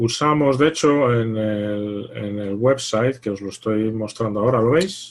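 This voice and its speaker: Here is a man with a normal speaking voice at a medium pitch. He goes at a fairly slow pace with hardly any pauses. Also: ordinary pitch variation. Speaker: investment fund manager. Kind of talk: online presentation Q&A.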